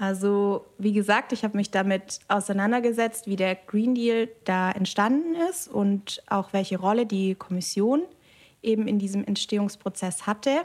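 A woman's medium-pitched voice at a moderate pace, with very even loudness, ordinary pitch variation, and a very clean, silent background. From Germany, Biberach (Upper Swabia). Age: 20s. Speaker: political scientist. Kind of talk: interview. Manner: hesitant fillers.

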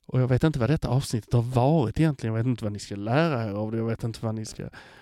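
A man's dark, mellow voice at medium pitch with ordinary pitch variation, in a very clean recording with a silent background and a dry, close sound with no echo. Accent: Scanian. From Skåne, southern Sweden. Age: 40s. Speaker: podcast editor hosting an episode. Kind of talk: casual personal monologue.

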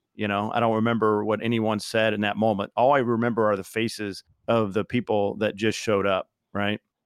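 In a Midwestern American accent, a man talks at a moderate pace and a medium pitch. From Southern Indiana, US Midwest. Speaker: professional speaker and author, army veteran. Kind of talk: interview conversation.

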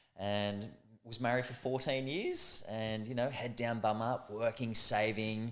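A medium-pitched man with an Australian accent, fairly slow, with ordinary pitch variation. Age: 40s. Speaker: calisthenics athlete and motivational speaker. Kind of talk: casual chat interview.

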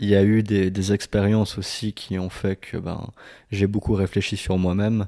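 At a moderate pace, a man speaks in a flat monotone at a fairly low pitch, his tone dark and mellow. The sound is dry and close without echo, recorded very cleanly against a silent background. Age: 20s. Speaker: podcast guest, carer. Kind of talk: casual chat.

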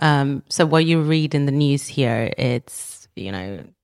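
The sound is dry and close, with no echo. A woman with a very deep, low voice speaks at a very slow pace. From Romania, raised in Sweden from age nine. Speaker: startup founder. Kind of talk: interview.

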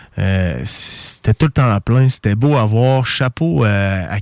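A man is heard in a dry, close sound with no echo. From Quebec, Bellechasse region. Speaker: radio host. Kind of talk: casual radio chat. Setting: radio studio. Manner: animated.

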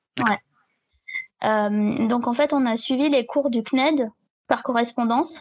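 Speaking very slowly with long, frequent pauses, a woman holds a high pitch, fairly even intonation and very even loudness. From southern France. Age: 20s. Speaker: blogger and freelance web writer. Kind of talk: casual interview. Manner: halting.

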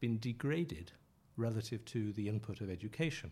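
The tone is dark and mellow, a bit breathy. Intonation moves in a lively way. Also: man. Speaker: journalist and author. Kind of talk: interview.

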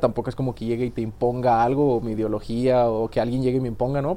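A man speaks very fast at a medium pitch. His tone is dark and mellow. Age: 20s. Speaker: recently graduated engineer. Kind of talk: casual chat. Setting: studio.

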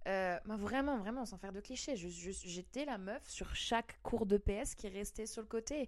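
Her pitch fairly high with ordinary variation, a woman in an unremarkable speaking voice talks at a fairly slow pace with hardly any pauses. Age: 30s. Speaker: singer. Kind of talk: casual chat.

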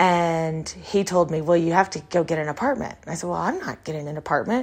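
A woman's fairly low, fairly quick voice with an American accent, ordinary pitch variation and an unremarkable speaking voice. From Texas. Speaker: podcast host. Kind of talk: personal storytelling monologue. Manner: casual, conversational with fillers.

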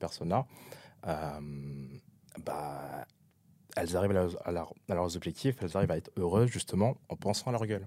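This man's voice has a dark, mellow tone. He keeps to a moderate speed. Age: 20s. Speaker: podcast guest, regular listener. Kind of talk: casual chat. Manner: halting.

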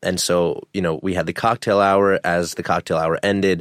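A man with a very deep, low pitch, fairly even intonation and a fairly quick pace, in a dry, close sound with no echo and a very clean recording with a silent background. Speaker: entrepreneur guest, husband. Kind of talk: casual interview. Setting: studio.

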